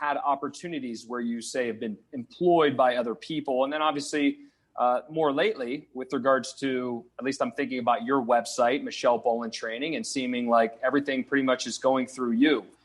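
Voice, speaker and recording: With a slight Minnesota accent, a man of medium pitch talks at a fairly quick pace with ordinary pitch variation and hardly any pauses. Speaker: podcast host. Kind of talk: podcast interview.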